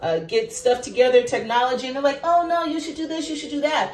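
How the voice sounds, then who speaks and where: A loud, animated woman with a high pitch at a very fast pace, amid audible room echo and noticeable background noise. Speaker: teacher and vlogger. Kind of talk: casual monologue to camera. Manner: loud, projecting.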